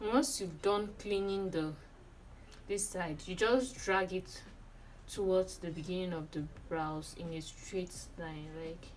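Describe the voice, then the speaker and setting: A woman with a medium-pitched voice speaks at a very slow pace, leaving long, frequent pauses. Audible room echo surrounds her. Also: ordinary pitch variation. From Nigeria. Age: 20s. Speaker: beauty vlogger. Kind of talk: tutorial.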